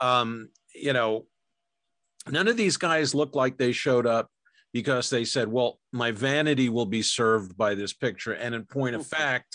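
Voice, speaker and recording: A man speaks in a plain, everyday voice with an American accent, at medium pitch with ordinary pitch variation and a moderate pace, the sound dry and close with no echo over a quiet background. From New York. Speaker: documentary filmmaker and film historian. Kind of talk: casual chat.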